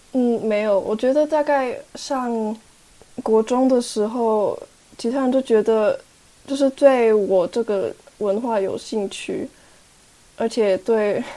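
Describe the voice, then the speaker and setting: The voice has a dark, mellow tone and fairly even intonation. It moves at a very slow pace, broken by long, frequent pauses. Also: woman, fairly high pitch for a woman. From Switzerland. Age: 20s. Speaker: young intern, half-Taiwanese guest. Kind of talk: casual interview conversation.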